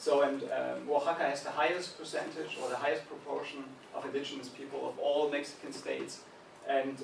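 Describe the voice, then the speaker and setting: The speaking pace is moderate. Background noise is noticeable, and there is audible room echo. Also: man. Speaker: visiting researcher. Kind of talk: lecture. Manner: halting, many fillers.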